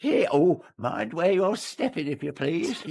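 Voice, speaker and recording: A man's put-on character voice, high in pitch and fairly slow. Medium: audio drama. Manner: excitable, muttering.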